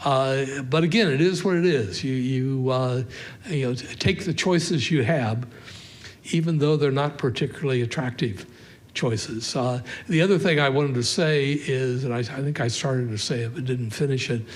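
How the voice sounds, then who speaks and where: A man speaks at medium pitch and a moderate pace, with ordinary pitch variation. Audible room echo surrounds his voice. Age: 80s+. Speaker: professor. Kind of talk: public lecture with Q&A. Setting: stage with audience. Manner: halting, many fillers.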